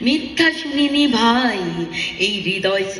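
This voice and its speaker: A woman's pitch swings very widely as she talks against noticeable background noise. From Bangladesh. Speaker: singer and organizer. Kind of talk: poetry reading.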